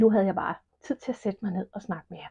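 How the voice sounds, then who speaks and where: Here a woman speaks at a medium pitch. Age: 50s. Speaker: knitting podcaster. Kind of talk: casual podcast monologue. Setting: at home alone.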